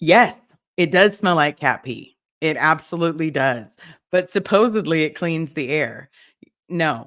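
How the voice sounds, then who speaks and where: A woman's fairly low-pitched voice at a fairly slow pace, with lively intonation and long, frequent pauses, on a very clean recording with a silent background. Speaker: livestream host, former cult member. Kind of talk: casual livestream chat reading comments. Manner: casual, hesitant with fillers.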